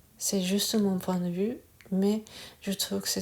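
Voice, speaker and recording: Her intonation monotone and flat, a woman keeps to a medium pitch. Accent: Japanese. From Japan. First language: Japanese (speaking French). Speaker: Reiki teacher. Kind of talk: casual talk to camera. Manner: halting, many hesitations.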